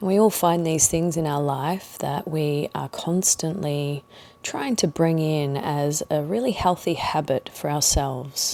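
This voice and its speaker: Her voice is very deep and low for a woman, dark and mellow in tone, calm, with ordinary pitch variation and a fairly slow pace. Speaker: meditation guide. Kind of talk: guided meditation. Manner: calm, slow.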